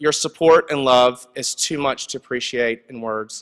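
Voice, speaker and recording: Recorded very cleanly against a silent background, a man with an American accent talks at a medium pitch with fairly even intonation. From US South, North Carolina. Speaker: advertising executive, award honoree. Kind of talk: award acceptance speech. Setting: stage with audience.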